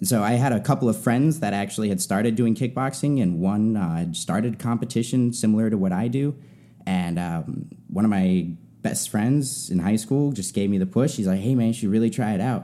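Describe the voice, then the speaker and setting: In an unremarkable speaking voice, a man at a medium pitch talks at a fairly quick pace with ordinary pitch variation. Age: 20s. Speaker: amateur kickboxer. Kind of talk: casual interview.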